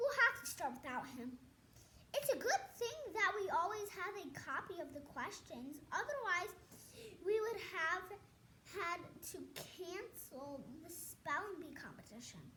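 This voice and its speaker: A woman's put-on character voice, extremely high in pitch, at a fairly slow pace over clear background noise. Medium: read story.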